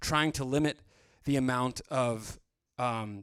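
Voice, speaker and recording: This man has a medium pitch and speaks with a Canadian accent. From Canada, Vancouver. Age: 30s. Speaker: music producer. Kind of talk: live stream tutorial. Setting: studio. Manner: casual, filler-heavy.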